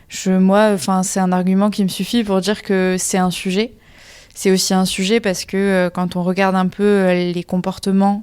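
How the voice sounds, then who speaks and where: Her intonation monotone and flat, a woman talks at a medium pitch and a moderate pace. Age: 20s. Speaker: engineering student. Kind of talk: podcast interview. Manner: hesitant, many fillers.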